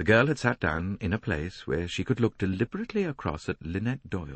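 A man's voice with vocal fry and very wide pitch swings at a moderate pace, against a quiet background in dry sound with no echo. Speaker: audiobook narrator. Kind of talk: audiobook narration of a mystery novel.

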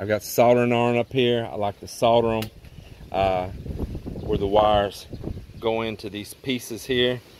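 A man at a moderate pace, dry sound with no echo, light background noise behind him. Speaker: home builder vlogger. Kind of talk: tutorial. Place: open country. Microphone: phone near.

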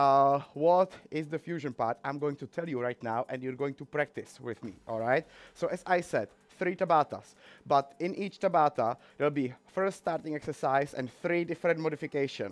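A man talks at a moderate pace, and his pitch varies by an ordinary amount. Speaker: fitness instructor. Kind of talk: tutorial. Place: gym.

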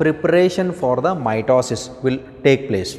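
A man with lively intonation. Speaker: biology teacher. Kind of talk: lecture. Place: classroom. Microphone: lapel.

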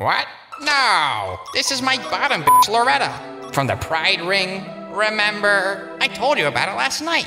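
A man's raised, projected voice, high pitched and fairly slow, with clear music in the background. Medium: comedy sketch. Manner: casual, defensive.

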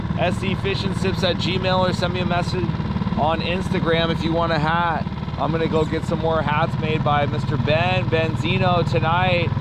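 A man's moderately paced speech competes with loud background noise. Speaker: fishing vlogger. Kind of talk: casual vlog chat. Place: boat. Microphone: phone near.

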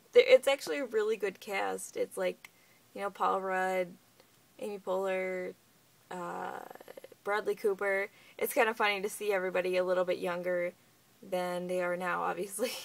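A woman speaks at a moderate pace with fairly even intonation. She leaves long, frequent pauses. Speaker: vlogger. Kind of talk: casual vlog chat. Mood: low, somewhat subdued. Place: home room. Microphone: phone near.

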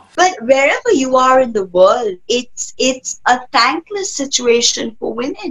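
A woman's high voice with very wide pitch swings, at a fairly slow pace. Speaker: tarot reader and spiritual healer. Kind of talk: interview answer. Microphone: webcam.

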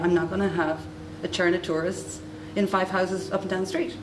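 A woman speaks at a fast pace in a fairly low pitch, with clear background noise behind her.

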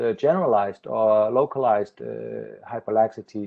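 The setting behind this man is quiet. His pitch shifts in a typical, ordinary way. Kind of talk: lecture. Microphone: video call.

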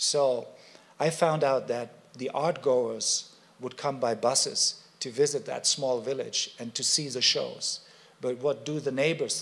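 This man has a German accent. He talks at a fairly slow pace. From Germany. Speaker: media artist; presenter. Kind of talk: panel presentation. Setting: stage with audience. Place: hall. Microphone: podium.

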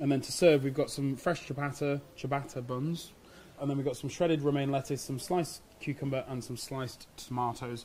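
Light background noise sits behind a man who talks at a fairly quick pace with fairly even intonation. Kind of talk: tutorial. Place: shop.

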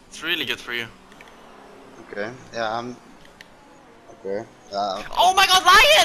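A man talks against noticeable background noise. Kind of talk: angry rant while gaming, live reaction to a racing game. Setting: online racing game session, commentating while playing. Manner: animated, loud, swearing and exasperated; excitable, rapid outbursts of disbelief.

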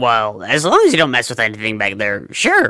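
Here a man uses a put-on character voice. His pitch sits at a medium level. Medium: audio drama.

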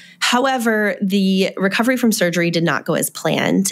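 An ordinary speaking voice, its pitch moving by an ordinary amount. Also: woman. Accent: American. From US, Maryland. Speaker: mother sharing birth story. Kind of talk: testimony.

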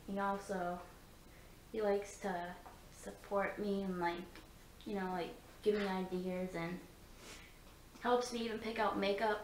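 A woman's flat, monotone voice at a fairly slow pace, with long, frequent pauses, light background noise and audible room echo. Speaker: beauty vlogger. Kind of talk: casual vlog chat. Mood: light, amused. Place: home room. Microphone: phone near.

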